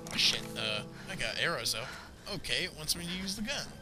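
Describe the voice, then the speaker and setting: A fairly slow pace over music in the background. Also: man. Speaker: voice actor. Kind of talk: casual gaming commentary. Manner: excitable, profane.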